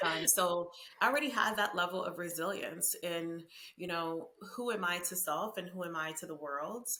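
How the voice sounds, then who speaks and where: Amid noticeable background noise and audible room echo, a woman with a fairly low pitch talks at a moderate pace with ordinary pitch variation. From Honduras, raised in the US. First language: Spanish. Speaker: marketing and diversity consultant. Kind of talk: podcast interview.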